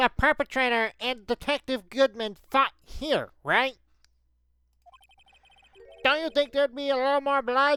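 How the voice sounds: A put-on character voice, female-sounding, high-pitched and nasal, with long, frequent pauses. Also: moderate pace.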